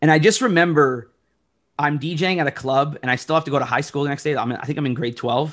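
A man with a Toronto accent at a very fast pace. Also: fairly high pitch for a man, ordinary pitch variation. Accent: Canadian English (Toronto area). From Oshawa, Ontario, Canada. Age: 30s. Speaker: DJ. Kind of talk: casual chat. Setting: video call.

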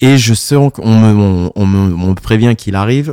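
The sound is dry and close, with no echo. A man speaks at a fairly slow pace in a dark, mellow tone. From Paris region, France. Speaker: DJ. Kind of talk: casual chat.

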